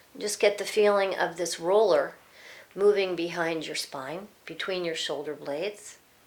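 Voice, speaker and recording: An ordinary speaking voice from a woman at medium pitch, with ordinary pitch variation, a fairly slow pace and big swings in loudness. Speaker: yoga teacher. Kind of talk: tutorial.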